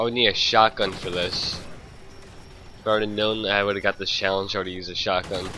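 A man with a fairly low pitch talks at a very fast pace. Noticeable background noise runs underneath. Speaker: gamer. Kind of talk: gameplay commentary. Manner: casual, excitable.

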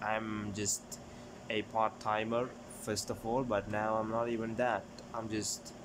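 A man's fairly low voice, flat and monotone, at a fairly slow pace with long, frequent pauses over noticeable background noise. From Sri Lanka. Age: 20s. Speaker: YouTuber; vlogger. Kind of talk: casual vlog; casual vlog chat. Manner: halting. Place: home room. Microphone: phone near.

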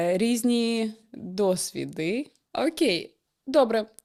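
The recording is very clean with a silent background, carrying lively intonation. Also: woman. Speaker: podcast co-host. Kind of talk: casual chat.

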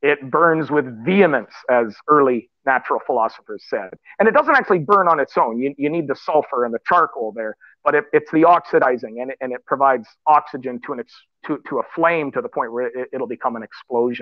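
A man talks at a fairly quick pace in a fairly high voice. His intonation is lively. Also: quiet background, dry sound with no echo. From Canada. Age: 50s. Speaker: writer and public speaker. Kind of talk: panel discussion. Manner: halting, many repeated words. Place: home room. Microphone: video call.

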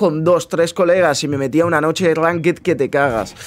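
A Spanish accent at a moderate pace, ordinary pitch variation and light background noise. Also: man. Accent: Peninsular Spanish. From Spain. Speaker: gaming youtuber. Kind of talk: casual gameplay commentary. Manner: animated.

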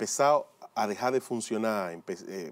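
This man speaks at a fairly low pitch. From Dominican Republic. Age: 40s. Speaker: lay preacher and former motivational speaker. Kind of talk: religious testimony. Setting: pre-recorded video. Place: studio. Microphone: lapel.

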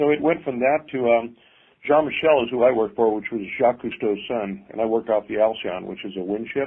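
This is an unremarkable speaking voice, a man at medium pitch. He moves at a fairly quick pace with ordinary pitch variation. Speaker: custom car builder. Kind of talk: casual interview. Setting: remote call.

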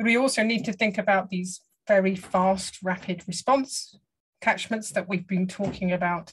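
A somewhat breathy woman's voice with a southern English accent, medium in pitch, moderate in pace, fairly even in intonation. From England. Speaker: hydrology professor. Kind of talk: lecture. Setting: video call. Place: home room. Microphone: video call.

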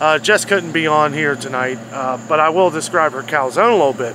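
Delivered at a moderate pace, the speech has a dry sound with no echo and noticeable background noise. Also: man. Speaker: food vlogger. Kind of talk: casual food review vlog. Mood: enthusiastic, relaxed. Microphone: phone near.

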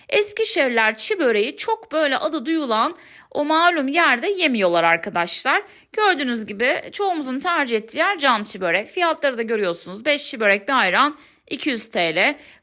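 In a raised, projected voice, a woman with a high pitch and bright, sharp tone swings very widely in pitch at a moderate pace. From Turkey, Eskişehir. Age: 30s. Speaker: food vlogger. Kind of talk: vlog narration.

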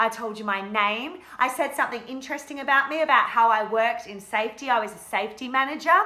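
Her intonation lively, a woman talks at a high pitch. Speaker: teacher acting a character. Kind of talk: in-character teaching demonstration. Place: classroom. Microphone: phone near.

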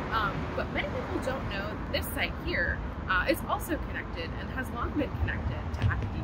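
Against loud background noise, a woman speaks at a fairly quick pace. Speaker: walking tour guide. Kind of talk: historical tour presentation. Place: open country.

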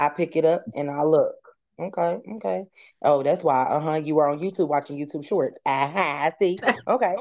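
Over a quiet background, a woman talks at a moderate pace in a very deep, low pitch. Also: ordinary pitch variation. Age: 30s. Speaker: mother of four, podcast guest. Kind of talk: casual chat. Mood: earnest, heartfelt. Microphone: video call.

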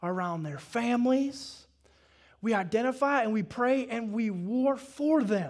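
A man with a Southern US accent at a very slow pace, his intonation lively, against a quiet background. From US South. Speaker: pastor. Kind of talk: sermon. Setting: church. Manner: animated, call-and-response with the congregation. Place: church. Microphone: headset.

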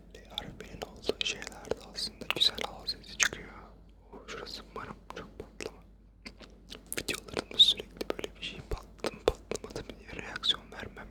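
Whispering over noticeable background noise. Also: moderate pace. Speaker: ASMR creator. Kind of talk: ASMR trigger word repetition. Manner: close whispered.

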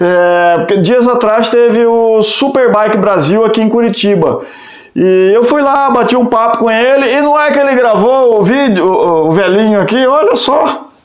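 With ordinary pitch variation, a man speaks at an extremely high pitch for a man, with audible room echo over a quiet background. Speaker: motorcycle vlogger. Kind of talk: casual vlog chat. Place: home room. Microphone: camera far.

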